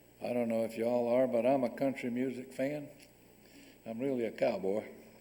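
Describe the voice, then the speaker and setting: A man's medium-pitched voice has a dark, mellow tone, with audible room echo around it. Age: 70s. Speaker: guest speaker. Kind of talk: lecture. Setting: stage with audience.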